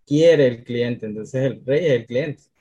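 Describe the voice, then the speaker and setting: A man speaks in a dark, mellow tone. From Colombia, Cartagena (Caribbean coast). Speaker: social media strategist. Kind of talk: interview.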